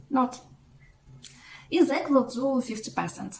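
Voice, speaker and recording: Speaking fairly slowly in a Russian accent, a woman uses a high pitch and lively intonation. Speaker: mathematics blogger. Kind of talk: educational explainer. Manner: halting.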